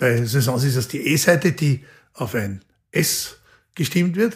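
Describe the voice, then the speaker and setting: Over a very clean, silent background, a man with a fairly high pitch speaks at a fairly slow pace, somewhat breathy, with lively intonation. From Austria. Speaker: orchestra conductor and violinist. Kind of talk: interview conversation. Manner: thoughtful, with frequent fillers.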